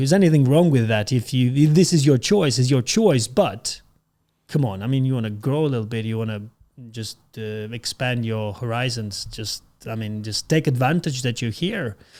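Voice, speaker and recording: Speaking with a non-native accent, a man has a medium pitch and a dark, mellow tone. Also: lively intonation, moderate pace. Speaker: podcast host. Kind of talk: casual interview chat.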